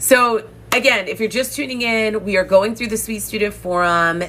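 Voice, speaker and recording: A woman talks at a moderate pace in a plain, everyday voice. Her pitch variation is ordinary. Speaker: dating coach. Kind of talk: live stream coaching talk. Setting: live stream.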